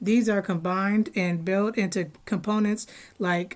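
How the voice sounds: The voice is a natural reading voice. Its intonation remains fairly even.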